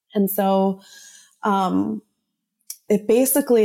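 In a very clean recording with a silent background, a woman with an American accent speaks in a dark, mellow tone. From New Jersey suburbs. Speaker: nonprofit founder. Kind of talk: interview.

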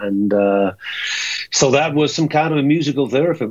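A man speaks with lively intonation. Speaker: rock singer. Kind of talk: casual interview. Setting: phone call. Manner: halting.

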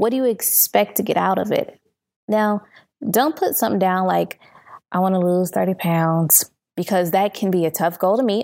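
On a very clean recording with a silent background, a woman with a normal speaking voice talks at a moderate pace and medium pitch. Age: 30s. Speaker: podcast host. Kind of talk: solo podcast monologue.

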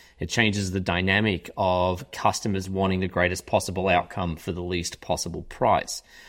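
Very clean and silent in the background, the recording features a man with an Australian accent. His voice is very deep and low, at a moderate pace. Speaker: author and consultant. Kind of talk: interview conversation.

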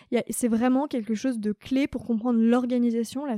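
A woman with a high pitch and a dark, mellow tone talks at a fairly quick pace with fairly even intonation, in a dry, close sound with no echo. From Paris region, Saint-Germain-en-Laye. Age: 20s. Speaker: chief of staff at a startup. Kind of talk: interview. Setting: company showroom.

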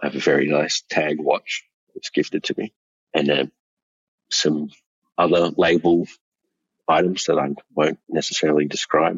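Moderately paced speech from a man with an Australian accent. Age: 40s. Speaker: male escort. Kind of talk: interview.

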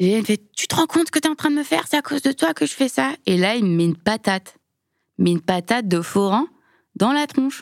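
Her pitch swinging very widely, a woman talks at a very fast pace in a very clean recording with a silent background and a dry, close sound with no echo. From Lyon suburbs, France. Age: 30s. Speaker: biomedical engineer. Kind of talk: testimony. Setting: studio.

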